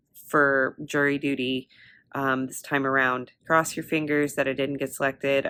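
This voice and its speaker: The intonation is monotone and flat. The recording is very clean, with a silent background. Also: woman. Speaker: vlogger and college student. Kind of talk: casual vlog chat. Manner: rambling, many fillers.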